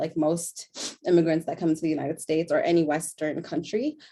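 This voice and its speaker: A woman's fairly low voice, dark and mellow, at a moderate pace. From born in Sudanese refugee camp, raised in Denver, Colorado. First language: Tigrinya. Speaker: panelist, refugee and immigrant. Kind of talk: panel discussion, personal testimony.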